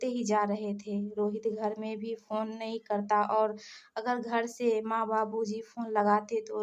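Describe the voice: Reading aloud, plainly done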